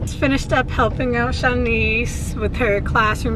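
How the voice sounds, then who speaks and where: A woman at a moderate pace, dry sound with no echo, noticeable background noise. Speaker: vlogger. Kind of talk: casual vlog chat. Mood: relaxed, amused. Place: car. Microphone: camera far.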